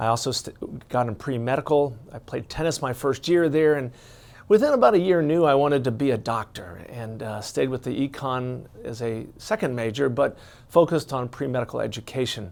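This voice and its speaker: With an American accent, the speech keeps a moderate pace and ordinary pitch variation in a very clean recording with a silent background. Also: man, medium pitch for a man. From US Midwest, Cincinnati, Ohio. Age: 60s. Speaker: retired doctor and life coach. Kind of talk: personal introduction monologue. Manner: conversational with frequent repetitions and fillers.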